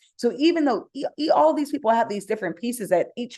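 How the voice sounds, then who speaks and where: A woman's dark, mellow tone with very wide pitch swings over a quiet background. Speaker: startup co-founder and CEO. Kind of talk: webinar presentation. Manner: fast.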